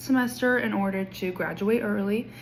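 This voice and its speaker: With a Kansas accent, a woman speaks at a fairly slow pace in a medium pitch with ordinary pitch variation. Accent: US Midwest (Kansas). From Kansas, small town west of Wichita. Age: 20s. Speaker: education student. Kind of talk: class introduction video. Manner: casual with filler ums.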